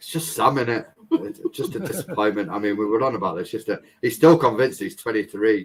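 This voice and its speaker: Talking at a very fast pace, a man of medium pitch sounds somewhat breathy, with lively intonation and big swings in loudness. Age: 30s. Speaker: family vlogger. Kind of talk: casual chat.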